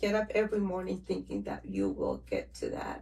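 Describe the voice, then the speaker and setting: A woman with a Spanish accent at a moderate pace. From Mexico. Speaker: financial educator, new podcast host. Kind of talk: casual interview.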